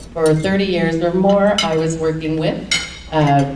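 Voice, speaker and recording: Audible room echo and noticeable background noise surround a woman speaking at a moderate pace. Her pitch is very deep and low, and her intonation is fairly even. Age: 60s. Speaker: panelist, nonprofit program worker. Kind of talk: panel discussion. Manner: halting.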